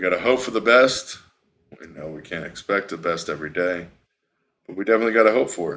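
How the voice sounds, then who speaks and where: A man speaks with a fairly low pitch and ordinary pitch variation. The recording is very clean, with a silent background. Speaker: livestream news commentator. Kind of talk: live stream news commentary. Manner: fast.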